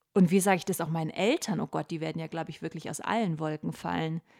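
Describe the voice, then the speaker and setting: This woman is heard on a very clean recording with a silent background. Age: 30s. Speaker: pregnancy podcast host. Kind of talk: personal diary-style monologue. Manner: animated.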